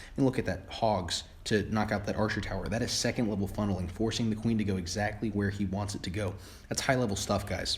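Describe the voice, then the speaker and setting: Talking at a very fast pace, a man has a fairly low pitch and a somewhat breathy quality. Audible room echo surrounds his voice. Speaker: gaming video creator. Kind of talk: gameplay commentary. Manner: stumbling over words; enthusiastic.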